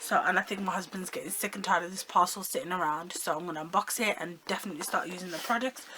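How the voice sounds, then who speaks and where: Against noticeable background noise, a woman speaks very fast at a medium pitch. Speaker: beauty vlogger. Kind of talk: unboxing haul video. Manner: animated.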